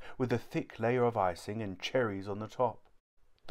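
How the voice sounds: The room behind the speaker is quiet. The delivery is a natural reading voice.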